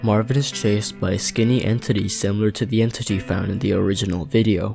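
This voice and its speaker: A man talks at a very fast pace with ordinary pitch variation. His fairly low voice sits over music in the background. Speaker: video analysis narrator. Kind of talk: narrated video analysis.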